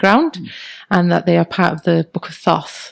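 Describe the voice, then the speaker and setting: A woman with a Welsh accent and a fairly low pitch, in a dry, close sound with no echo. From Wales. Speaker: teacher and tarot card reader. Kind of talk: interview answer.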